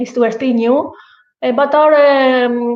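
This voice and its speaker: The speaker talks at a fairly slow pace with a Greek accent. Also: woman. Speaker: podcast host. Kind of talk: casual chat. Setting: at her guest house estate. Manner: halting, many fillers.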